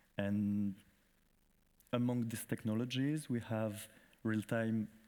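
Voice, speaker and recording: On a very clean recording with a silent background, a man with a French accent speaks at a fairly slow pace and with fairly even intonation. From France. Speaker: festival director. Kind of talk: conference presentation. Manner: halting.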